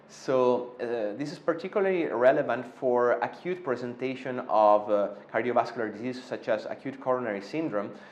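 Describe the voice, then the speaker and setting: A man's medium-pitched voice in an Italian accent. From Italy. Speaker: interventional cardiologist. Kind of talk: interview. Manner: hesitant, many fillers.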